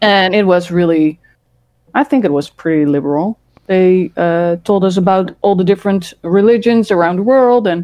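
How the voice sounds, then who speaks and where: Speaking with a Dutch accent, a woman talks at a fairly slow pace. Her pitch is medium, with ordinary pitch variation. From Netherlands, Rotterdam. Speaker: former podcast host. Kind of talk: casual chat.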